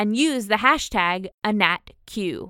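A woman's bright, sharp tone comes through a dry, close sound with no echo. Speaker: podcast host. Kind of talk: interview.

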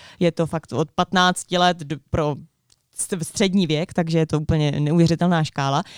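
With a plain, everyday voice, a woman speaks at a fairly low pitch with fairly even intonation in a dry, close sound with no echo. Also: fairly slow pace. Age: 20s. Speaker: podcast co-host. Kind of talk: casual chat.

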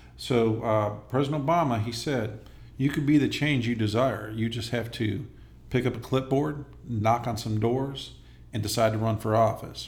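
With audible room echo around him, a man speaks at a medium pitch and a moderate pace, somewhat breathy and with fairly even intonation. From Los Angeles area, California. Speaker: congressional candidate, army veteran. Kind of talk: interview.

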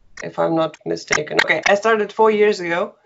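With a Russian accent, this voice shows ordinary variation in pitch. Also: woman. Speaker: online language teacher. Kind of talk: interview. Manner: laughs often.

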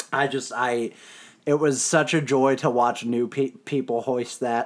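A man talks at a fairly slow pace in a plain, everyday voice. His pitch is medium and his intonation fairly even. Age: 20s. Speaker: hockey podcast host. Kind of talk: casual chat. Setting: home recording.

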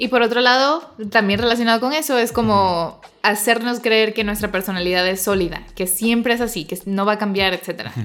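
Her voice sits fairly high, with ordinary pitch variation. The woman talks with hardly any pauses. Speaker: podcast host and writer. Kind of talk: casual chat. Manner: fast; sometimes loud.

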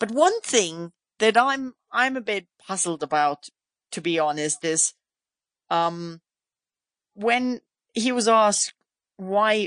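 A woman with a German accent talks at a fairly slow pace with lively intonation. Her sound is dry and close, with no echo, over a quiet background. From Germany. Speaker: motorsport podcast host. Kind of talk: casual interview.

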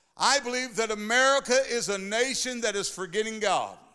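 This man talks at a moderate pace in a raised, projected voice that is high-pitched, animated and bright, sharp in tone. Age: 60s. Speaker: pastor. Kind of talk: sermon. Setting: church.

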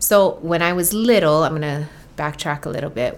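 The speaker is a woman. She talks with a Hawaiian accent. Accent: Hawaii English. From Hawaii (Oahu). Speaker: musician. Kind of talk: casual chat.

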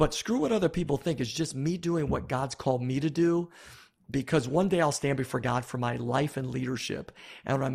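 A man with an American accent talks at a fairly quick pace in a fairly high, somewhat breathy voice with ordinary pitch variation. The recording is very clean, with a silent background. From US Northeast, Buffalo, New York. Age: 50s. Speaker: pastor and author. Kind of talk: interview.

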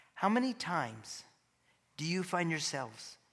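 A man talks in a high, bright and sharp voice. He goes at a fairly slow pace, and the room echo is audible. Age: 50s. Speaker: pastor and church elder. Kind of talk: sermon.

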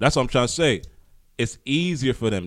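A man is talking. He has an American accent. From Haitian heritage, US. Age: 30s. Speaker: podcast co-host. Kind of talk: casual chat. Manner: animated.

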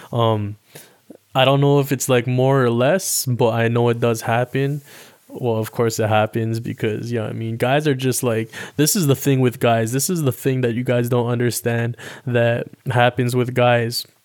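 A Toronto accent from a man at a medium pitch, moderate pace and fairly even intonation. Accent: Toronto urban Canadian English. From Toronto, Canada. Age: 20s. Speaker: podcast host. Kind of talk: casual monologue. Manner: casual, filler-heavy.

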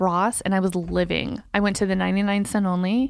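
In a very clean recording with a silent background, a woman with an unremarkable speaking voice talks at medium pitch and a moderate pace. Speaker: podcast co-host, lash business owner. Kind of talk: casual chat. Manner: playful, teasing.

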